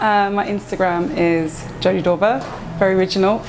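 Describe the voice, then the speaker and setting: In an Essex accent, the speaker goes at a fairly quick pace, with audible room echo and noticeable background noise. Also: woman. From England, Essex (Romford, Hornchurch). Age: 30s. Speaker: tattoo artist. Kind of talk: interview. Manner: hesitant, many fillers.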